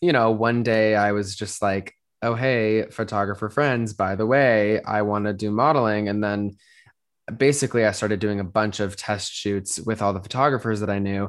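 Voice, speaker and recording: Speaking at a moderate pace in a plain, everyday voice, a man with an American accent keeps a fairly low pitch and fairly even intonation against a quiet background. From Colorado, Denver. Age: 20s. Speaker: model and photographer. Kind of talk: interview.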